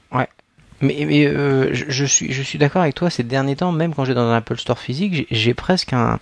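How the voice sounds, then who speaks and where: A normal speaking voice from a man at medium pitch, fairly slow in pace, with ordinary pitch variation and a dry, close sound with no echo. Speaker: podcast co-host. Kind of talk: casual chat.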